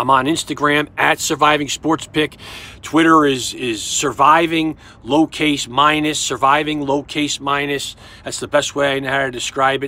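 A man speaks at a moderate pace in a fairly high pitch, his bright, sharp tone flat and monotone in a dry recording with no echo. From New York. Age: 50s. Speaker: sports betting tipster. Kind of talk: casual monologue to camera. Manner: halting, repetitive stammering. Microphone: phone near.

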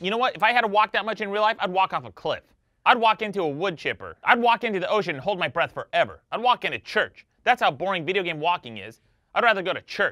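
Over a quiet background, a man talks at a very fast pace in a raised, projected voice with a bright, sharp tone and ordinary pitch variation. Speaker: comedic video host. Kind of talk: comedic rant to camera. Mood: mock angry, sarcastic. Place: studio.

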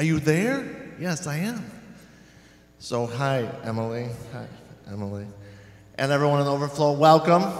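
A man with lively intonation at a moderate pace, with long, frequent pauses and audible room echo. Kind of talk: church announcements. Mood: cheerful, jokey. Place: church. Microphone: handheld.

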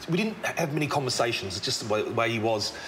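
A man with an Australian accent talks over light background noise. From Melbourne, Australia. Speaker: tradesman and charity founder; presenter. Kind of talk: interview. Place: factory.

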